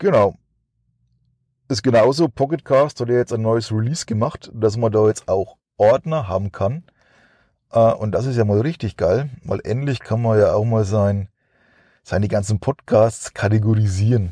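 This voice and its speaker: A man speaks in a dark, mellow tone with long, frequent pauses, his voice dry and close with no echo on a very clean recording over a silent background. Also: medium pitch for a man, ordinary pitch variation, moderate pace. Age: 40s. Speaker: podcast host. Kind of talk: casual monologue. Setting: in a car. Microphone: cheap microphone.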